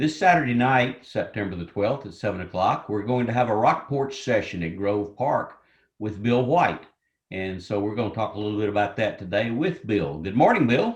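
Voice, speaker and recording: Against a quiet background, a man speaks in a somewhat breathy voice with lively intonation. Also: medium pitch for a man, moderate pace. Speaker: event host interviewer. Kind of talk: interview. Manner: radio DJ style.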